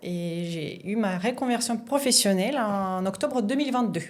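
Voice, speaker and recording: A woman speaks at a moderate pace in a medium pitch, her intonation lively, with audible room echo around her. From Russia. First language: Russian (speaking French). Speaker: sommelier, former surgeon. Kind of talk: podcast interview. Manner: hesitant, frequent fillers.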